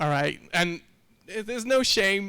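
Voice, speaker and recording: With a bright, sharp tone, a man talks at a moderate pace on a very clean recording with a silent background. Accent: French. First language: French. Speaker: software developer. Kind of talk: tech talk.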